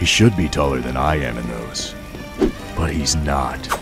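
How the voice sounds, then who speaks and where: Over loud music in the background, a man uses a put-on character voice at a fairly slow pace. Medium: dub. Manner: terse, gravelly.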